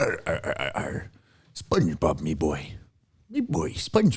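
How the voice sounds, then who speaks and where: A man performs a put-on character voice. He keeps to a moderate pace. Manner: growling, playful.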